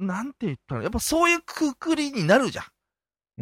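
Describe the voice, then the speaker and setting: A man on a very clean recording with a silent background, dry and close with no echo. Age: middle-aged. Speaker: podcast host. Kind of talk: casual chat.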